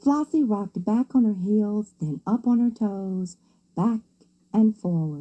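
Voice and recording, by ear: Here someone is reading aloud in a natural voice. The pitch varies in an ordinary way.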